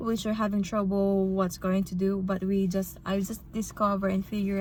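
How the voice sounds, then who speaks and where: A woman at a moderate pace, medium in pitch and somewhat breathy. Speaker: registered nurse vlogger. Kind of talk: casual vlog.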